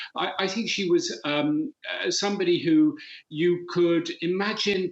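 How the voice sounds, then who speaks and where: This man speaks with an English accent and a high pitch. His intonation is lively. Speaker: former politician, commentator. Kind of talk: news interview.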